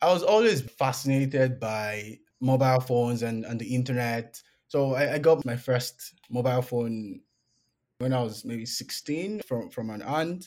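A man with a Nigerian accent, medium pitch, ordinary pitch variation and a moderate pace. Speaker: PhD student in computer science. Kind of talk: casual interview.

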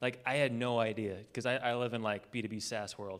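The speaker is a man with an ordinary speaking voice. His pitch sits in the medium range. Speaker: podcast host. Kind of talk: live podcast interview. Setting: stage with audience.

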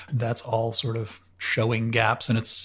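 This is a man with a medium pitch. His voice is somewhat breathy. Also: very clean recording, silent background. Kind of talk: casual interview chat.

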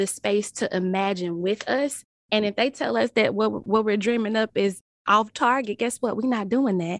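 With a Southern US accent, a woman talks at a moderate pace in a fairly high voice. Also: dry, close sound with no echo. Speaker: nonprofit executive director. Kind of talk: casual chat.

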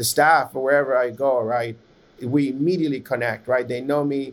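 At a fairly quick pace, a man talks with medium pitch and fairly even intonation. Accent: Spanish. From Nicaragua. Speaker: podcast host and tech founder. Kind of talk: casual interview. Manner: halting, repeats words.

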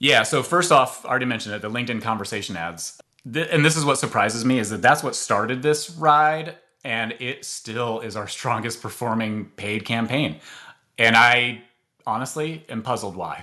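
Speaking at a moderate pace, a man has a medium-pitched voice with a bright, sharp tone. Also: ordinary pitch variation. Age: 40s. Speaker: marketing executive. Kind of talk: interview.

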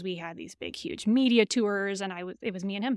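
In a very clean recording with a silent background, a woman with a Michigan accent speaks at medium pitch with ordinary pitch variation. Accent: nasal Michigan. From Michigan, Lansing. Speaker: software company CEO. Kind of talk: interview conversation. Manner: animated.

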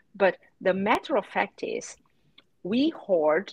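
In a dry, close sound with no echo, a woman's somewhat breathy, medium-pitched voice makes very wide pitch swings. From Brazil. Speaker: data executive. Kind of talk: casual chat. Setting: video call.

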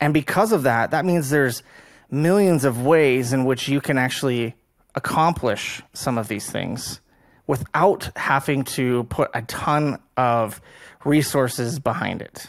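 At a fairly slow pace, a man with an ordinary speaking voice talks in a fairly high pitch with ordinary pitch variation, in a very clean recording with a silent background. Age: 30s. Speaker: podcast host. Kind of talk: interview.

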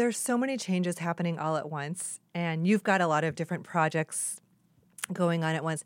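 This woman has an unremarkable speaking voice, fairly low in pitch, with ordinary pitch variation and a fairly quick pace. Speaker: podcast host and tech executive. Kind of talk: interview conversation.

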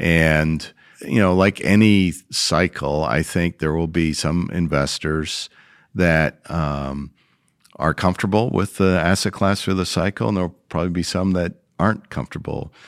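In a very clean recording with a silent background, a man with a very deep, low voice speaks at a fairly slow pace with ordinary pitch variation. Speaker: private credit investment executive. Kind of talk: podcast interview.

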